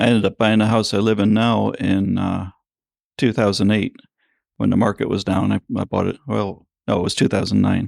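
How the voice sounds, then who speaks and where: At a moderate pace, a man speaks with vocal fry and monotone, flat intonation. The recording is very clean with a silent background, and the sound is dry and close with no echo. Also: fairly low pitch for a man. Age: 60s. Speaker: farrier. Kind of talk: interview.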